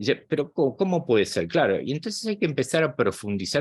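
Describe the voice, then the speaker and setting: A man's voice with vocal fry and very wide pitch swings, dry and close with no echo, against a quiet background. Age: 60s. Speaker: psychologist and spiritual channel host. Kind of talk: guest talk to online group.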